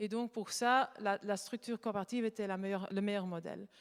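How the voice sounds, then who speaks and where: The voice, at a moderate pace with ordinary pitch variation, has a dry, close sound with no echo. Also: woman. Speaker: conference speaker, art conservation company co-founder. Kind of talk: conference talk. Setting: conference with audience. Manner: halting, many hesitations.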